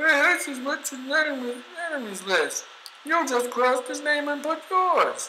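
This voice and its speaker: A man's put-on character voice, extremely high in pitch, at a moderate pace over clear background noise. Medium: solo performance.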